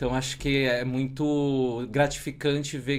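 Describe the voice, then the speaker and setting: The man's voice sits at a medium pitch. His intonation is monotone and flat. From Brazil, São Paulo. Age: 40s. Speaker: tech community organizer and podcaster. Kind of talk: podcast interview.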